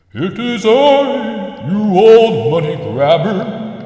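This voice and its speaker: A man puts on a character voice, pitched high and spoken at a very slow pace. There is clear echo around him. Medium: machinima. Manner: grave, solemn.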